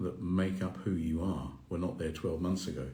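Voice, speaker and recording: A man with a very deep, low voice, a dark, mellow tone and vocal fry talks at a fairly quick pace amid audible room echo. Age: 60s. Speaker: mindfulness coach. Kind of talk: live Q&A stream. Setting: Instagram live video. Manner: halting.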